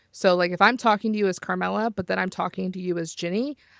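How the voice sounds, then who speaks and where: A woman with an American accent speaks at a fairly low pitch and fairly quick pace, the sound dry and close with no echo. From US South. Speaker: podcast host and roleplay player. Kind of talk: casual chat. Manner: fast.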